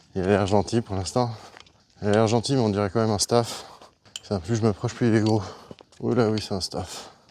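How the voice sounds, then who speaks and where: Fairly low male voice at a moderate pace, fairly even intonation, long and frequent pauses, noticeable background noise. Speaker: hiking vlogger. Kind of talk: vlog narration while hiking. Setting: outdoors on a hike. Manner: hesitant, repeats words.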